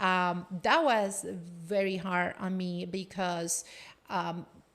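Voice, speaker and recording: A woman speaks with a Spanish accent at a medium pitch. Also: very clean recording, silent background. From Colombia. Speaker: business executive and coach. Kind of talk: casual chat.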